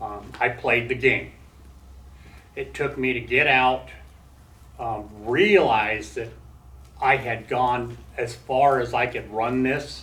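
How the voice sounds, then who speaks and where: Audible room echo is heard. Through it, a man talks at a medium pitch. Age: 60s. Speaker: former prisoner and recovering addict speaking to students. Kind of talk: talk and Q&A with college class. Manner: halting, with many fillers and restarts.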